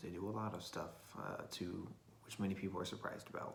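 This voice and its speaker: The intonation is fairly even, and audible room echo surrounds the voice. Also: man. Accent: American. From Florida, US South. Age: 20s. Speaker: vlogger. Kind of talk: casual video diary monologue. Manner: halting, many fillers.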